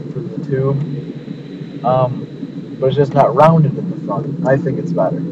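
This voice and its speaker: A man at a very slow pace, with noticeable background noise and a dry sound with no echo. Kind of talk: casual vlog chat. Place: car. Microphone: phone near.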